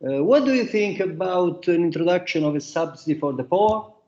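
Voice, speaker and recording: Here a man with a high pitch and a dark, mellow tone speaks at a moderate pace. He has an Italian accent. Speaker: economics professor and book author. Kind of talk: academic roundtable talk. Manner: halting, many fillers.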